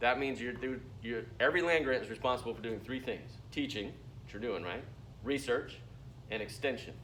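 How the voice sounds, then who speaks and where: Mumbled words with vocal fry and ordinary pitch variation come at a fairly quick pace amid audible room echo. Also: man. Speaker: university lecturer. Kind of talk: lecture. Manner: mumbling.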